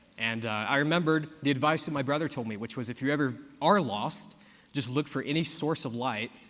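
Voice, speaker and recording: With an American accent, a man talks at a fairly quick pace and ordinary pitch variation, with audible room echo. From US South (South Georgia). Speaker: preacher. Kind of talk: sermon. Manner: casual storytelling with frequent fillers and repeats.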